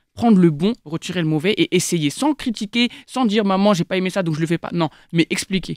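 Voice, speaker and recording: In a very clean recording with a silent background and a dry, close sound with no echo, a woman talks at a very fast pace. Her pitch is fairly low, with ordinary variation. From France, Seine-et-Marne (Paris suburbs). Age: 20s. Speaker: young debater. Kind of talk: casual debate.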